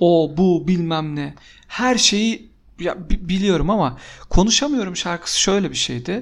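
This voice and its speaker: Very slowly, a man speaks at a high pitch with lively intonation. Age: 30s. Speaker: podcast co-host. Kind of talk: casual chat.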